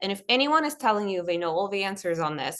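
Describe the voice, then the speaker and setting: A woman speaks at a medium pitch. Her intonation is lively. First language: not English. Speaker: lawyer on a panel. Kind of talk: panel discussion.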